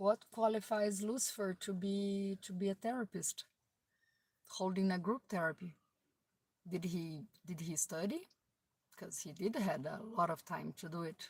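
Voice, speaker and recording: A woman's somewhat breathy, medium-pitched voice, fairly slow with long, frequent pauses, ordinary pitch variation, and a dry, close sound with no echo. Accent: non-native. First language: not English. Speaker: video blogger. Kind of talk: casual monologue. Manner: halting.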